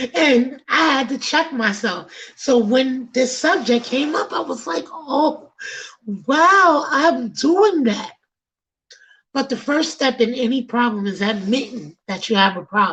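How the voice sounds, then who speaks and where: Loud and animated, a woman with a Bronx accent talks at a fairly slow pace in a high pitch with very wide pitch swings. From New York City, the Bronx. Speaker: podcast host. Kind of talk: casual chat.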